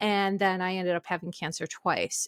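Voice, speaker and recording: A woman talks in a dry, close sound with no echo. The recording is very clean, with a silent background. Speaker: podcast host and therapist. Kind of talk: casual podcast monologue. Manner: loud.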